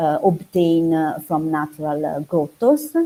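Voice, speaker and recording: Speaking at a fairly slow pace in an Italian accent, the voice has a dark, mellow tone and ordinary pitch variation. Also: woman. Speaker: archaeology researcher. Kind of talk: academic talk. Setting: online video seminar. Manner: halting, many fillers.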